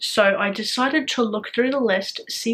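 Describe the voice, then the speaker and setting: Against noticeable background noise, a woman speaks fairly slowly at a fairly high pitch with ordinary pitch variation. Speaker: booktuber. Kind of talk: casual vlog talk.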